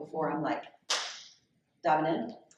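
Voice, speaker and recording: A woman with a very deep, low pitch, in audible room echo. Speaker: author and podcaster. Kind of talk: public conversation, Q&A. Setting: library event with live audience. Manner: fast; loud.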